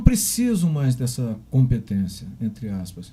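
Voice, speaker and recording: A man talks at a fairly slow pace in a normal speaking voice. His pitch is medium. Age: 60s. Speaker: podcast host. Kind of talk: interview.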